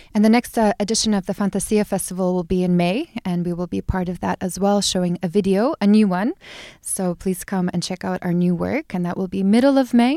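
This woman's voice has a medium pitch and a dark, mellow tone, with ordinary pitch variation at a fairly quick pace. The recording is very clean, dry and close, with a silent background and no echo. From US Midwest, Chicago. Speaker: photographer. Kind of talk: casual chat.

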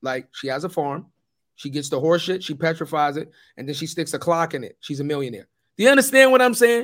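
A man with a fairly high voice talks very fast in an animated tone, his pitch swinging very widely and his loudness rising and falling a lot. The recording is very clean, with a silent background. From US Northeast (New York City projects). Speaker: podcast co-host, company executive. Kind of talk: casual chat.

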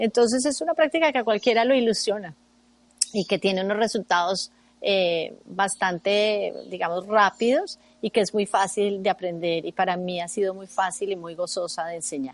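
With a normal speaking voice at a medium pitch, a woman talks at a moderate pace and uses lively intonation. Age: 50s. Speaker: meditation teacher and therapist. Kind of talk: radio interview.

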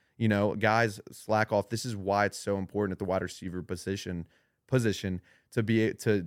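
A man's voice with fairly even intonation, in a dry, close sound with no echo on a very clean recording with a silent background. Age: 20s. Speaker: former college football player, marketer. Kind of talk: casual chat. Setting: studio.

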